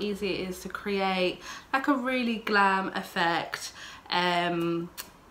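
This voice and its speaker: A woman speaks in an English accent at medium pitch. Noticeable background noise runs behind her. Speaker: beauty vlogger. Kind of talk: makeup tutorial vlog. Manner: casual, filler-heavy.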